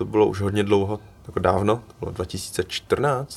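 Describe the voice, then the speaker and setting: Music in the background beneath a fairly even intonation. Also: man. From Czech Republic, Cheb, Vietnamese parents. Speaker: photographer and student. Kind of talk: casual chat.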